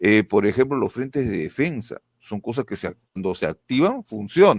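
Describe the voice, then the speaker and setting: A man talks with lively intonation at a moderate pace and medium pitch. He has an unremarkable speaking voice. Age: 60s. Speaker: political candidate. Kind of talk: political interview.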